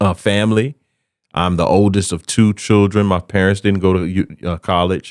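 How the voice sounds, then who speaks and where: On a very clean recording with a silent background, a man with a Southern US accent speaks at a very deep, low pitch with fairly even intonation. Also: moderate pace, dry, close sound with no echo. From US South, South Carolina (Camden). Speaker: comedian and speaker. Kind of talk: casual chat.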